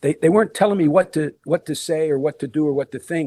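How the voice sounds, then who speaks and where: A man speaks with an American accent in a dark, mellow tone. The sound is dry and close with no echo, and his pitch varies in an ordinary way. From Pottsville, Schuylkill County, Pennsylvania. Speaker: former college basketball player and coach. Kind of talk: podcast interview. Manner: halting, many repetitions.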